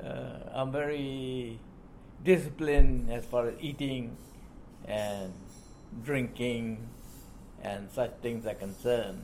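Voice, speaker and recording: A man with a Burmese accent speaks at a medium pitch and a very slow pace, with long, frequent pauses. His loudness swings widely while pitch variation stays ordinary. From Burma, Shan State. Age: 80s+. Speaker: retired army officer. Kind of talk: life-story interview. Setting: hotel meeting.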